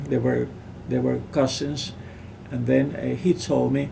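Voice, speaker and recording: A man's voice comes with noticeable background noise and an audible echo from the room. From Puerto Rico, Lares. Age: 70s. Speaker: physician. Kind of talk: interview. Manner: halting.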